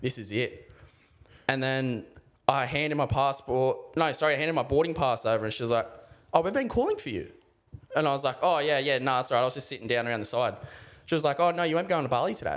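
Speaking very fast with an Australian accent, a man uses a fairly high pitch and ordinary pitch variation, broken by long, frequent pauses. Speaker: podcast co-host. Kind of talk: casual chat.

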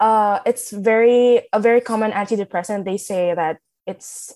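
On a very clean recording with a silent background, a woman with a fairly high pitch talks at a very slow pace. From Philippines, Manila. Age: young. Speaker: student. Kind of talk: casual chat.

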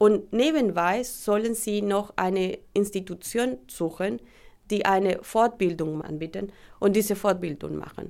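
At a fairly slow pace, a woman with a normal speaking voice talks in a medium pitch with ordinary pitch variation. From Colombia. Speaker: teacher seeking recognition. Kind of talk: testimony.

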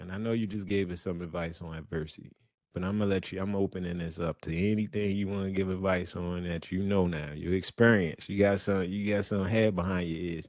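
Very deep and low-pitched, a man talks at a fairly quick pace. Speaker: podcast host. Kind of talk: casual interview chat. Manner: animated.

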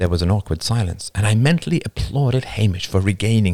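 Just plain reading aloud

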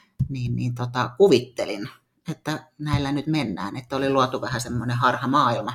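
Her voice is very deep and low in pitch. The woman's pitch moves with ordinary variation. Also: moderate pace. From Finland, Tampere. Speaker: fitness athlete and coach. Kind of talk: casual interview. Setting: studio.

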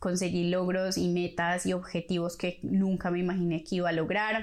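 Her pitch sits fairly low. This woman moves along at a moderate pace. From Colombia. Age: 30s. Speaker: podcast host. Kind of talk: personal monologue.

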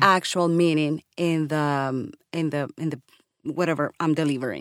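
A woman speaks at a fairly slow pace in a very clean recording with a silent background, the sound dry and close with no echo. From Colombia. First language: Spanish. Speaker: voiceover artist. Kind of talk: casual chat.

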